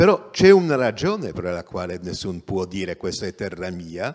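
A man speaks with a Polish accent and very wide pitch swings. Faint music plays in the background. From Poland. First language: Polish (speaking Italian). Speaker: journalist and activist; journalist. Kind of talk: lecture. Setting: theatre stage, livestreamed. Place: stage. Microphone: handheld.

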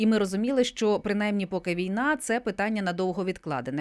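Fairly high in pitch, a woman speaks in a normal speaking voice at a fairly quick pace. The recording is very clean, with a silent background. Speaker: radio host. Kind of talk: radio interview. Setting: studio.

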